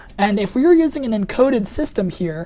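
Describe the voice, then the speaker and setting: A dark, mellow tone colors the voice. It is also somewhat breathy. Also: woman. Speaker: programming instructor. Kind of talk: webinar lecture. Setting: online webinar. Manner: fast; casual, many fillers.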